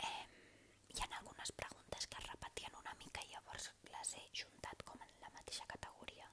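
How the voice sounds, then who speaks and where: A woman whispering at a moderate pace. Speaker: ASMR content creator. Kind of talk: casual talk to camera, ASMR Q&A. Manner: whispered.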